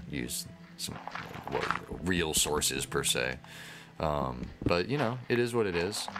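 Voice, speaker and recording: Lively intonation marks this man's speech. Audible room echo and noticeable background noise surround him. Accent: American. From United States. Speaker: gaming YouTuber. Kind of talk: casual gameplay commentary. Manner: rambling, halting with false starts.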